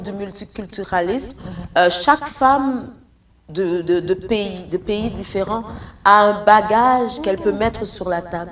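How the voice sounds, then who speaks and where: Noticeable background noise sits behind a woman speaking at a very slow pace. Her pitch is medium and varies in an ordinary way. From Haiti and Congo. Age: 60s. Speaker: entrepreneur. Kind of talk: interview.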